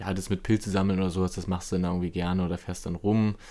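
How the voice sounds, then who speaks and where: On a very clean recording with a silent background, a man speaks in an unremarkable speaking voice, fairly low in pitch. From eastern Germany. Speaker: podcast host. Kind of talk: casual interview conversation.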